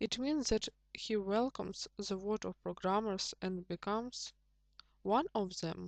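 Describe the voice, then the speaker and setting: With a non-native accent, a woman speaks fairly slowly at a medium pitch with ordinary pitch variation, in a dry, close sound with no echo over a quiet background. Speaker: programming tutor. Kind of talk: tutorial.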